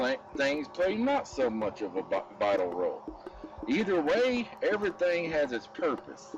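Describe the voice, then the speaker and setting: Music plays in the background as a speaker with an American accent talks at a fairly slow pace. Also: man. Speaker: wildlife rescuer and YouTuber. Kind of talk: outdoor nature vlog, direct address to viewers. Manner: halting with repetitions.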